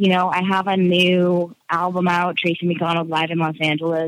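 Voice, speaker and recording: Fairly slow and medium in pitch, a woman speaks in a plain, everyday voice. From Nova Scotia, Canada. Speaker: stand-up comedian. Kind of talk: interview.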